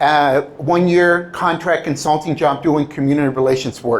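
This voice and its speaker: A man talks at a moderate pace with a Spanish accent. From California, Mexican-American family. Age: 50s. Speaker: keynote speaker. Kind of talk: keynote speech.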